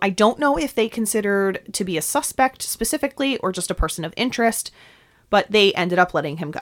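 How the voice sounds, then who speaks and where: A woman's medium-pitched voice at a fairly quick pace, lively in intonation, with a dry, close sound and no echo. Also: very clean recording, silent background. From New York. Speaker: podcast host. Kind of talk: scripted narration of true crime, with casual banter.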